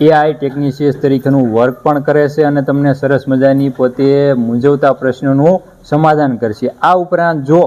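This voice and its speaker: A man speaks at fairly high pitch with fairly even intonation. Background noise is noticeable. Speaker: farming channel host interviewing a livestock farmer. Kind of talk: interview on a dairy farm. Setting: on location at a dairy farm.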